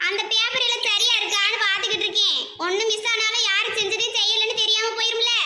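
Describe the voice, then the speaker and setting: A woman's cartoonish character voice, extremely high-pitched, at a moderate pace. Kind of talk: comic cartoon village talk. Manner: fast, quarrelsome.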